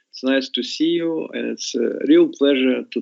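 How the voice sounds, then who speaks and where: In a Russian accent, a man speaks at a fairly slow pace. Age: 60s. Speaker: scientist. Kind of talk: interview. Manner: halting.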